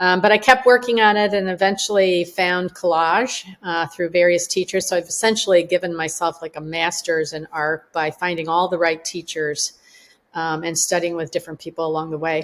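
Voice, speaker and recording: A woman with a Chicago accent speaks at a moderate pace. Her pitch is fairly low, and her intonation stays fairly even. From US Midwest, Chicago suburb. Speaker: collage artist. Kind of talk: artist remarks.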